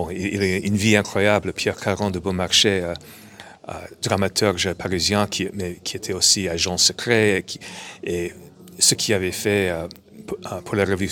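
Speaking at a fairly slow pace with an English accent, a man uses a very deep, low pitch and a bright, sharp tone in a monotone, flat delivery. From New York, US. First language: English (speaking French). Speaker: comic book writer. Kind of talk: interview. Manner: halting.

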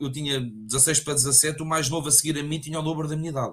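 A man's fairly high voice moves at a fairly quick pace. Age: 30s. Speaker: sommelier. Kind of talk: casual interview. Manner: halting, many repetitions.

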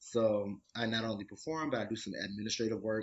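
The voice belongs to a man with an American accent. It sits at a fairly low pitch. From Detroit, US Midwest. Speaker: professional dancer and arts administrator. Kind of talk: casual chat.

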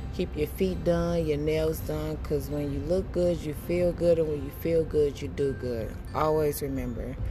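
A woman talks with hardly any pauses, with audible room echo around her voice. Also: moderate pace. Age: 30s. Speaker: podcast host and fashion business owner. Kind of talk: casual monologue.

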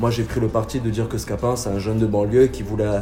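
Amid crowd noise and audible room echo, a man talks at a medium pitch. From southern France. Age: 20s. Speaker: theatre director and actor. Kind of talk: casual interview.

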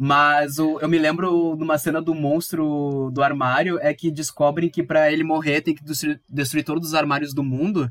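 A man at a fairly high pitch and a moderate pace, with hardly any pauses and a monotone, flat intonation. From southern Brazil, Viamão (Rio Grande do Sul). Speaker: podcast host. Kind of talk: casual chat.

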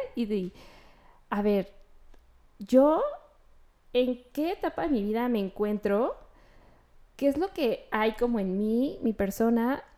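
Her fairly high-pitched voice has a dark, mellow tone and lively intonation, and the recording is very clean with a silent background. The woman speaks at a very slow pace, with long, frequent pauses. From León, Guanajuato, Mexico. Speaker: interior designer. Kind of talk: interview.

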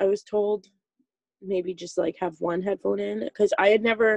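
Recorded dry and close with no echo, a woman with a Canadian prairie accent talks at a moderate pace and medium pitch. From Saskatchewan, Canada. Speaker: tree planter. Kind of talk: casual chat.

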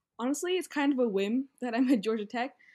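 With an American accent, a woman speaks in an ordinary speaking voice at a fairly quick pace. Her intonation is lively, and the recording is very clean with a silent background. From Virginia, US. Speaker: engineering student. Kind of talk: interview.

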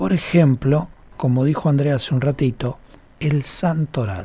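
A man with a fairly high pitch speaks fairly slowly in a somewhat breathy voice. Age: 50s. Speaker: radio host and holistic therapist. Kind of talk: radio talk show, explanatory. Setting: radio studio.

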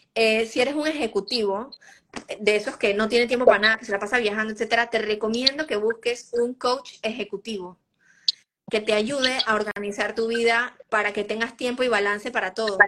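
A woman speaks in an unremarkable speaking voice at a fairly high pitch. Her pace is fairly quick and her intonation fairly even. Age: 30s. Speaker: nutritionist. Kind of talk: interview.

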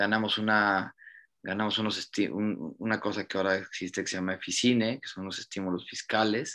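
Against a quiet background, a man with a fairly low pitch talks at a fairly quick pace in a bright, sharp tone with monotone, flat intonation. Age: 40s. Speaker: film director and producer. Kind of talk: interview.

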